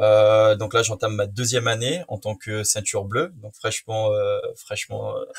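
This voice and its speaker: A man with a fairly low pitch speaks at a fairly slow pace, with ordinary pitch variation and hardly any pauses. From French Guiana. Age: 20s. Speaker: student and jiu-jitsu practitioner. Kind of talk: interview. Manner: hesitant, many fillers.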